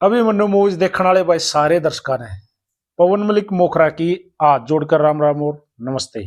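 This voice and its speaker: A man speaks with a Haryanvi accent. His voice sits high in pitch. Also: ordinary pitch variation. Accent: Haryanvi-accented Hindi. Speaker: interviewer. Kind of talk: interview.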